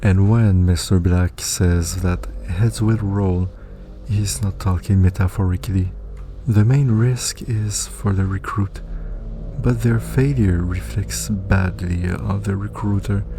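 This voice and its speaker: Music plays behind a man with a very deep, low voice. He talks very slowly, with lively intonation. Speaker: story narrator. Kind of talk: read story narration.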